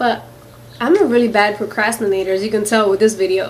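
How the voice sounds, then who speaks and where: A woman at a fairly high pitch with ordinary pitch variation, in a room with audible echo. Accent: American. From US Northeast, Philadelphia. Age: 20s. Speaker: beauty vlogger. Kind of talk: casual Q&A vlog. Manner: chatty, many fillers.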